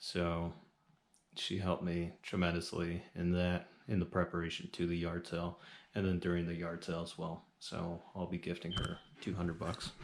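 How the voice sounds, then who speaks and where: A man speaks at a moderate pace in a very deep, low voice with monotone, flat intonation. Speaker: reseller vlogger. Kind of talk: casual vlog talk to camera.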